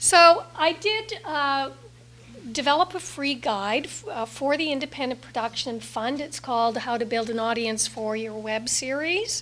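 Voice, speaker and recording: Noticeable background noise surrounds a woman with a high pitch. She talks at a fairly slow pace with lively intonation. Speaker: workshop presenter, digital marketing consultant. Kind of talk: conference presentation. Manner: many filler words.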